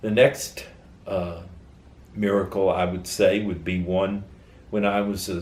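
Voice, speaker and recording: A somewhat breathy man's voice with an American accent, fairly low in pitch, with audible room echo. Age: 70s. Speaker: interviewee sharing faith story. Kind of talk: testimony.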